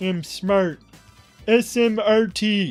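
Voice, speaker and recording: A fairly high-pitched, put-on character voice comes through over faint music in the background. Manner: dim-witted, goofy.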